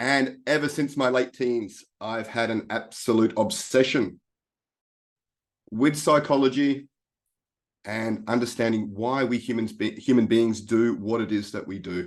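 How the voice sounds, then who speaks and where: With an Australian accent, a man speaks at a fairly slow pace. His pitch is medium, with ordinary variation. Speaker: life coach. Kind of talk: webinar presentation.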